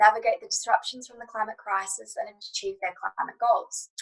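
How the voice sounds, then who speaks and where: A woman talks at a fairly quick pace. She has an Australian accent. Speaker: lawyer and panel chair. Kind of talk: panel moderation, opening remarks. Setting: online panel.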